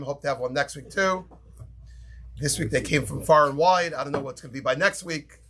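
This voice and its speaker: Bright, sharp tone in a New York accent. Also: man. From New York, Brooklyn. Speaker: rabbi teaching a class. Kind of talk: Torah lecture.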